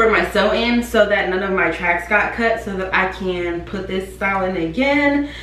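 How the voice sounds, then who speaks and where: Over light background noise and audible room echo, a woman speaks at a moderate pace with hardly any pauses and ordinary pitch variation. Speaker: beauty vlogger. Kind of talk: casual vlog chat, product review. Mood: upbeat, enthusiastic. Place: home room. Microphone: camera far.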